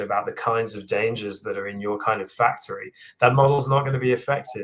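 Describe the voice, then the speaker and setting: Somewhat breathy and at medium pitch, a man with an English accent speaks at a very fast pace. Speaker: AI engineer and book author. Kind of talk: live Q&A interview.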